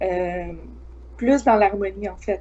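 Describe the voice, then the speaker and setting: This woman talks. She has a Quebec accent. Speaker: psychic medium. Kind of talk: psychic forecast in live chat. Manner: many hesitations.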